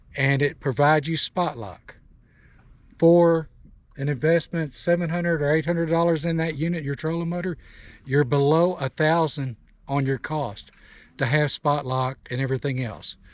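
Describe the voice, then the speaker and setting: A man with a normal speaking voice and a fairly high pitch talks at a moderate pace with fairly even intonation. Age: 60s. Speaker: kayak angler. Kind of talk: casual chat.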